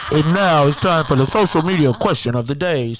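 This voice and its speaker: A man in a booming, put-on character voice at a fairly high pitch and fairly quick pace, over loud background noise. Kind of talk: announcer.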